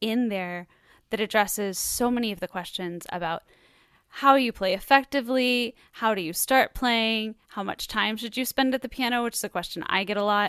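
On a very clean, dry and close recording with no echo and a silent background, a woman with an ordinary speaking voice talks at a moderate pace, her pitch fairly high with ordinary variation. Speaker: radio host and singer-songwriter. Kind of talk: interview host.

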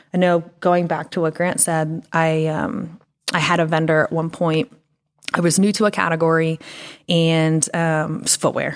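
Delivered at a fairly slow pace, an ordinary speaking voice holds fairly even intonation. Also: woman, fairly low pitch for a woman. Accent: American. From Pennsylvania. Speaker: retail merchandising director. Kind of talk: interview conversation.

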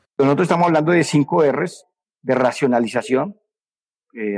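A man's fairly high pitch with ordinary pitch variation, in a dry, close sound with no echo. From Colombia, Risaralda coffee region. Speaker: coffee institute director and grower. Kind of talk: interview testimony. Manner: halting, with repetitions.

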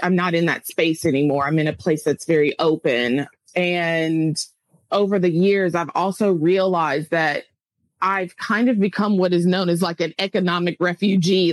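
A woman with an American accent speaks in a plain, everyday voice at a fairly low pitch, with ordinary pitch variation, a moderate pace and very even loudness, recorded dry and close with no echo. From US South, Tennessee. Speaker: expat English teacher. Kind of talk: casual interview.

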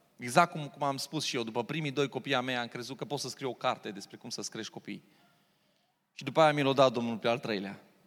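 A very fast, animated delivery with big swings in loudness and ordinary pitch variation, in a very clean recording with a silent background. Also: man, medium pitch for a man. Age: 40s. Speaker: pastor. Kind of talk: sermon.

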